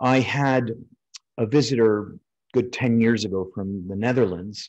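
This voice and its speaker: An American-accented man with an ordinary speaking voice talks at a fairly slow pace, at medium pitch and with ordinary pitch variation. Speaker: refractive eye surgeon and lecturer. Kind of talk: webinar lecture. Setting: online webinar. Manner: frequent fillers and repetitions.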